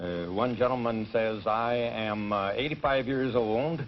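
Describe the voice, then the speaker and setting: A man speaks at a medium pitch. There is audible echo from the room. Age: 50s. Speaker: college track coach. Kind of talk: game show interview.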